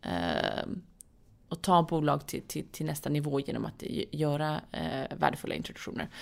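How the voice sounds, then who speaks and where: A woman talks at a moderate pace. The recording is very clean and the background silent. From Saudi Arabia and Sweden, born in London. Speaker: entrepreneur and venture investor. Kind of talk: interview. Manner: hesitant, many fillers.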